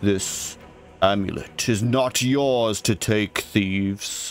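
Putting on a character voice, a man speaks at a very slow pace and a fairly low pitch. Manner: menacing, warning.

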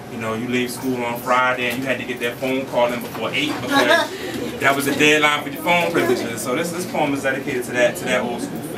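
A man with an American accent speaks very fast with fairly even intonation. Loud background noise surrounds him. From Philadelphia. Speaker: spoken word poet. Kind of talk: casual talk to audience. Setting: live venue. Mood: warm, humorous. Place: hall. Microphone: camera far.

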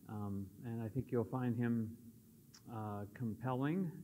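Over light background noise, a man talks at a fairly slow pace, his pitch varying in an ordinary way. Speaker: church teacher. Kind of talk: lecture. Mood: relaxed, friendly. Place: hall.

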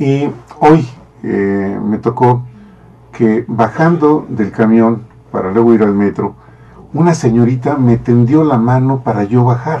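A very slow-paced man, his speech broken by long, frequent pauses. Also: ordinary pitch variation. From Mexico. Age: old. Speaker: TV talk show host; program host. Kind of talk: casual interview chat. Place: studio.

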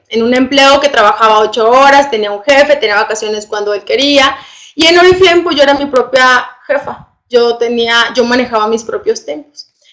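Against a quiet background, a woman speaks at a high pitch. Her pace is fairly quick, with ordinary pitch variation. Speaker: presenter. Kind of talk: online presentation testimony. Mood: enthusiastic, persuasive. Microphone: webcam.

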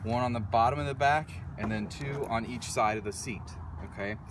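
A man talks at a moderate pace, the sound dry with no echo but noticeable background noise. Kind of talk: tutorial. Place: open country. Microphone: phone near.

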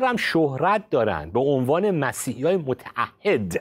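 Against a quiet background, a man talks in very wide pitch swings. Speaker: pastor and science-faith commentator; pastor, science-faith commentator. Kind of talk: religious discussion show. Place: studio. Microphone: lapel.

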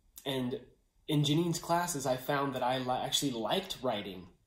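The voice shows ordinary pitch variation, with audible room echo in the recording. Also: man. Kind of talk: personal testimonial. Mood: warm, grateful. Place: home room. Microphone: phone near.

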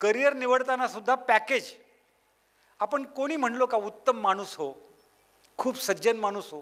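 This man's voice is extremely high. His pitch varies in an ordinary way. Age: 60s. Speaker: motivational speaker on parenting. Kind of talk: public talk to parents.

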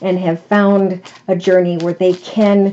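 A woman speaks at a fairly slow pace in a fairly low pitch, with an unremarkable speaking voice. Light background noise sits underneath. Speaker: tarot reader. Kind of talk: tarot reading monologue. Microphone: phone near.

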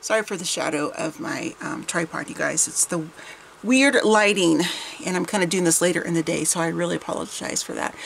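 In a plain, everyday voice, a woman talks at a fairly quick pace with fairly low pitch and lively intonation over light background noise. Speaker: vintage haul vlogger. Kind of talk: casual vlog chat. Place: home room. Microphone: camera far.

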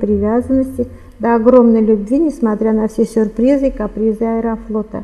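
This woman's voice sits fairly high in pitch. Her intonation stays monotone and flat. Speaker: writer, former engineer. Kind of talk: interview and reading aloud from her book. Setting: studio. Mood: calm, narrative. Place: studio.

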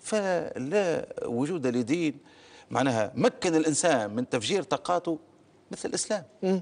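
Very wide pitch swings mark this man's fairly high voice. He speaks at a fairly slow pace. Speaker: party spokesman. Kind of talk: TV political interview.

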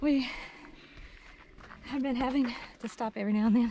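A woman talks at a fairly high pitch with a dark, mellow tone. Her intonation is lively.

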